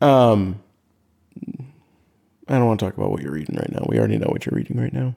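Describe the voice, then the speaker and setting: A man with a fairly low pitch and a dark, mellow tone talks in a playful tone at a very fast pace, his pitch swinging very widely, with long, frequent pauses. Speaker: guest, host's husband. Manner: joking, playful.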